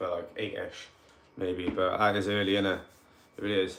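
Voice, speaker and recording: A man with a Cardiff accent. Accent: Welsh, Cardiff. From Wales, Cardiff. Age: 30s. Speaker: paranormal investigator. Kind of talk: livestream chat. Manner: animated.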